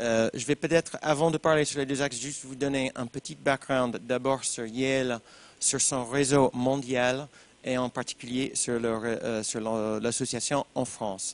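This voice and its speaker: A man with an American accent, medium pitch and fairly even intonation at a moderate pace, in a dry, close sound with no echo. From United States. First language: English (speaking French). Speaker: alumni association president. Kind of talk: panel talk.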